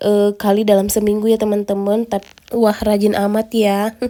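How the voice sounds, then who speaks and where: At a moderate pace, a woman speaks in a dark, mellow tone at a fairly high pitch. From rural Indonesia. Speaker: vlogger, stay-at-home mother. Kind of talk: vlog voice-over. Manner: casual, chatty; stumbling over words.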